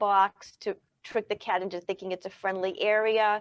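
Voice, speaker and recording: With a dry, close sound and no echo, a woman speaks at medium pitch and a moderate pace in a monotone, flat manner. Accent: American. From Maine, US. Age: 60s. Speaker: cat behaviorist. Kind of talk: casual chat.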